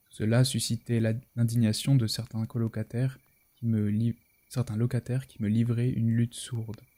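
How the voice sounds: The clip has a natural reading voice. It is heard throughout.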